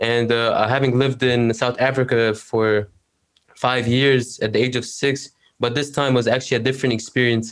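A man with an Arabic accent talks in a monotone, flat way at very even loudness. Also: medium pitch for a man, moderate pace. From Egypt. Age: 19. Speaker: university student, LinkedIn creator. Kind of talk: interview conversation.

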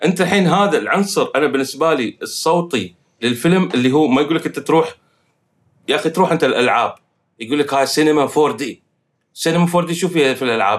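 In a plain, everyday voice, a man speaks at a fairly quick pace and fairly high pitch with ordinary pitch variation. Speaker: film composer. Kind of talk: casual chat.

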